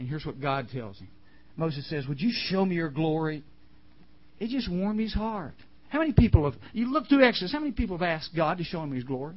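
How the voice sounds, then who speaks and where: A man talks at a fairly quick pace with fairly high pitch and very wide pitch swings, leaving long, frequent pauses amid audible room echo. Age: 50s. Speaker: camp chapel speaker. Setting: camp chapel with audience. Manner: animated, conversational, voicing characters in quick back-and-forth dialogue; earnest, emotional, near tears.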